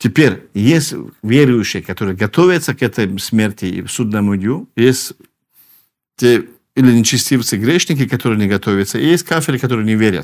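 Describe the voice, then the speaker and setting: Lively intonation from a man at a medium pitch and moderate pace, on a very clean recording with a silent background. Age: 40s. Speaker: Islamic preacher. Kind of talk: religious lecture. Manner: halting, with frequent fillers and repetitions.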